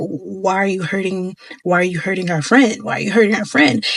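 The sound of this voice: This is a put-on character voice with a growling quality. It sits at a middle pitch and moves at a fairly quick pace.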